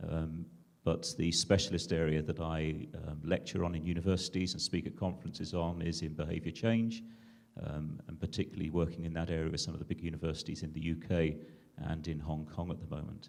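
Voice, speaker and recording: With a British accent, a man speaks at a fairly quick pace in a very deep, low pitch. His intonation is fairly even, and audible room echo surrounds him. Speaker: digital health entrepreneur and clinician. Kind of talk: conference panel discussion.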